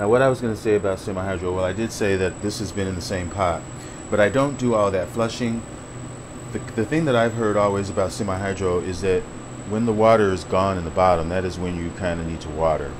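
A man talks very fast in a fairly low voice with ordinary pitch variation. Noticeable background noise runs underneath. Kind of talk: casual vlog chat. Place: home room. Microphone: phone near.

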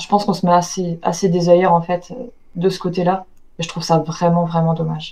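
This woman talks at a fairly quick pace in a fairly low pitch with a dark, mellow tone. Her intonation stays monotone and flat while her loudness swings widely. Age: 30s. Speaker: eyewitness recounting paranormal encounter; witness. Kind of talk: testimony. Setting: video call. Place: home room. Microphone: headset.

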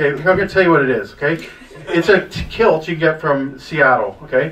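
With ordinary pitch variation, a man speaks at a moderate pace. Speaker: stand-up comedian. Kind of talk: stand-up comedy storytelling. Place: cafe.

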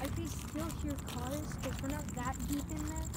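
Loud background noise sits under speech delivered at a fairly slow pace. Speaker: amateur explorer vlogger. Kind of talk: casual vlog chat. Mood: nervous, scared. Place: tunnel cave. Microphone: phone near.

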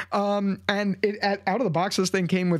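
Male speech over a quiet background. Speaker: tech YouTuber. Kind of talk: casual vlog review. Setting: home desk setup. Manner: conversational, animated. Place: home room. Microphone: studio mic.

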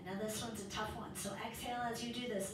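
A woman speaks in a monotone with flat intonation. Audible room echo and noticeable background noise are present. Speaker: yoga instructor. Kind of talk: guided yoga class with cueing and a calming mantra. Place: home room.

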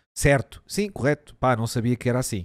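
A man with a European Portuguese accent, at a fairly slow pace. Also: quiet background. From Portugal. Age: 30s. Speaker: streamer; live streamer. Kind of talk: casual live-stream commentary, reacting to and reading an article; casual stream commentary, reading aloud. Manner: animated, casual, with many fillers. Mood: joking, swearing, amused. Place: home room. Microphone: studio mic.

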